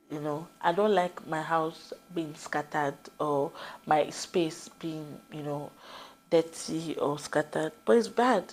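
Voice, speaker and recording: A woman's very deep, low voice at a very slow pace, with big swings in loudness. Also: ordinary pitch variation. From Nigeria. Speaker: vlogger. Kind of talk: casual talk to camera. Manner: conversational, with fillers.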